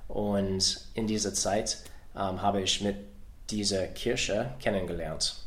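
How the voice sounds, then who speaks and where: Through audible room echo, a man speaks very slowly in a fairly low voice with fairly even intonation. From US Midwest, Ohio. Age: 40s. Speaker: soldier. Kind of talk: interview in a learned language. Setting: in person. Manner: halting, many hesitations.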